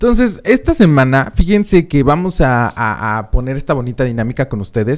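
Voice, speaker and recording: With lively intonation, a man talks fairly quickly at a medium pitch. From Mexico City. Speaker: radio host. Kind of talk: casual radio chat.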